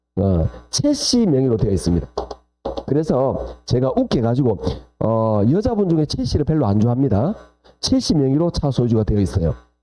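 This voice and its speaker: A man is speaking. His pace is moderate. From South Gyeongsang, Korea (Jinju). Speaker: lecturer. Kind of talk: lecture. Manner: animated.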